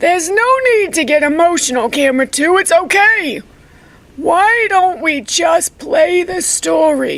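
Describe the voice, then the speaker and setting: The voice is a put-on character, pitched extremely high. Its delivery is fairly slow. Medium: comedy sketch. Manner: calm, anchorman tone.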